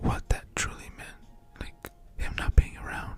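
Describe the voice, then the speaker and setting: Against noticeable background noise, a man whispers at a moderate pace with an American accent. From California, US. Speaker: ASMR YouTuber. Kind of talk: casual personal ramble. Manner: soft-spoken; hesitant, many fillers.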